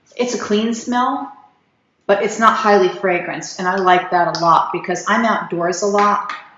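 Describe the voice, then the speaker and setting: Audible room echo surrounds a woman's medium-pitched voice. She goes at a moderate pace with fairly even intonation. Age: 60s. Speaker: skin care video creator. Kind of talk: product review. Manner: halting, repeated false starts.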